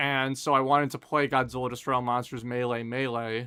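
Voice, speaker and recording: Music plays in the background as a man speaks at medium pitch and a fairly quick pace in a monotone, flat way. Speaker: gaming streamer. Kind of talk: live stream Q&A chat. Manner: sarcastic, casual.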